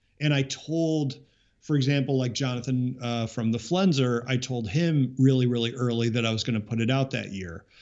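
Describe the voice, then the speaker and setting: A man's medium-pitched voice, a normal speaking voice, with ordinary pitch variation and a moderate pace. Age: 40s. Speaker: musician. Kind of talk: casual chat.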